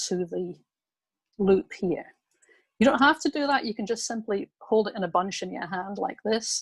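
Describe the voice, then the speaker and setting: Heard in a dry, close sound with no echo, a woman speaks at a fairly slow pace with a medium pitch, somewhat breathy. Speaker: craft instructor. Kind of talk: tutorial.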